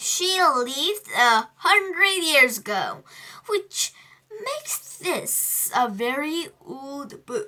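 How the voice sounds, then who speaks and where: A woman performs a put-on character voice at an extremely high pitch with very wide pitch swings. She speaks very slowly, and her loudness swings a lot. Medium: read story. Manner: teacherly, patient.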